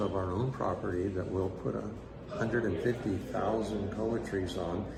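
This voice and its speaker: A man talks at a moderate pace in a fairly low pitch with ordinary pitch variation. The room echo is audible and background noise is noticeable. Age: 70s. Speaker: guitar company co-founder. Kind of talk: interview. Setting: event at a guitar building school.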